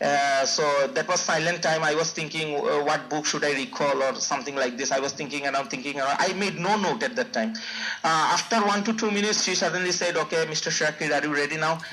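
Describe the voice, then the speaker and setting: A man speaks at a very fast pace and a fairly high pitch with ordinary pitch variation and very even loudness, over noticeable background noise. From Bangladesh. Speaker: IELTS test taker. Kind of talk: interview. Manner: hesitant, many fillers and repeats.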